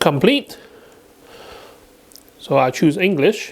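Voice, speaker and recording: Noticeable background noise sits behind a voice with very wide pitch swings. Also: man. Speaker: tech reviewer. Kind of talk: product review tutorial. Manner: hesitant, with fillers.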